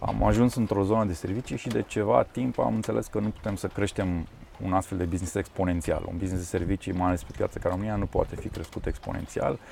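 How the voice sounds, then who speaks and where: This man speaks at a very fast pace. His pitch is fairly low, with ordinary variation. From Transylvania, Romania. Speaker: tech company founder. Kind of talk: interview.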